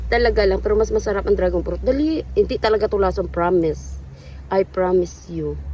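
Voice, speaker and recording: A woman rushes through her words at a very fast pace, with noticeable noise behind her. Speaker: vlogger. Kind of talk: casual vlog chat. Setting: outdoors. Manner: animated.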